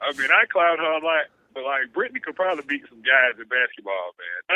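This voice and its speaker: A man with a normal speaking voice talks at a fairly high pitch and a fairly quick pace. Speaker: sports radio host. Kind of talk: casual chat.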